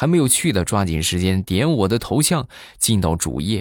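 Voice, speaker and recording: On a very clean recording with a silent background, a man with a very deep, low voice and vocal fry speaks at a moderate pace in an animated tone, his pitch swinging very widely. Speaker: podcast host. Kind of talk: comic storytelling monologue.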